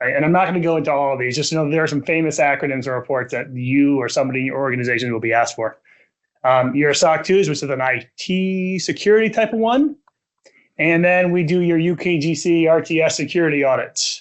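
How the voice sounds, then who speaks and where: A man with an American accent talks at a very fast pace. His pitch is fairly high, with ordinary variation. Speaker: technology assurance partner at an accounting firm. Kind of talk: conference presentation. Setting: conference room with live audience. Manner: loud.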